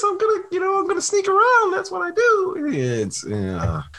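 In a put-on character voice, the speaker talks at an extremely high pitch and a very slow pace. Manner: sneaky.

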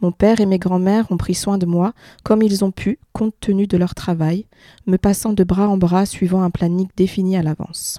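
A woman's dark, mellow voice comes through dry and close with no echo, her intonation monotone and flat. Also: medium pitch for a woman, moderate pace. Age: 30s. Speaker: patient sharing her weight story. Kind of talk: testimony.

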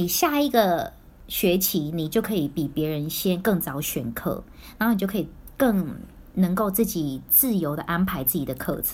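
A woman's fairly low voice with lively intonation at a moderate pace, a normal speaking voice. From Taiwan, then Singapore and Vancouver from early teens. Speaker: former overseas student. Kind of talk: casual chat.

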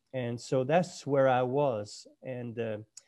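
A man's dark, mellow voice at medium pitch, very slow and fairly even in intonation, over a quiet background. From Nova Scotia, Cape Breton Island. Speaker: former pastor, mental health ministry leader. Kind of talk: interview. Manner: halting, struggles with speech after stroke.

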